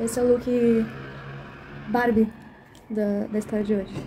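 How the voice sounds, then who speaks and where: A quiet woman with a fairly high pitch speaks at a moderate pace amid noticeable background noise. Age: young. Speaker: cultural monitor and storyteller. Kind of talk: casual behind-the-scenes vlog. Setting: at home. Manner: speaking quietly; animated.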